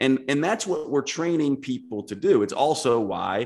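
This man has a plain, everyday voice. He moves at a fairly quick pace, and his pitch varies in an ordinary way. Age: 40s. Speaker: naturopathic doctor and author. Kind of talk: casual chat.

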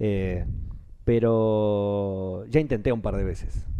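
Fairly low-pitched male voice, dark and mellow in tone, with fairly even intonation. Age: 30s. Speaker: voice actor. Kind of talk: interview conversation.

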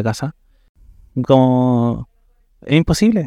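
A man with a dark, mellow tone talks at medium pitch with fairly even intonation. The sound is dry and close with no echo, and the background is quiet. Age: 30s. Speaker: interview guest sharing life story. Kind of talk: personal testimony. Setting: café.

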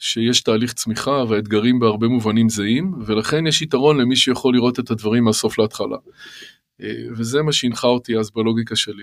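A man talks at a moderate pace and medium pitch. His intonation is fairly even and his loudness very even. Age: 50s. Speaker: startup finance executive. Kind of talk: interview. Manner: hesitant with fillers.

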